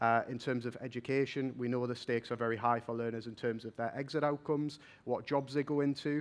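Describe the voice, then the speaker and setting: A man delivers his words at a fairly quick pace with fairly even intonation in a quiet background. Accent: Geordie. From northern England, Newcastle. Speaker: vocational assessment innovation manager. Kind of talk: conference talk. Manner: fast.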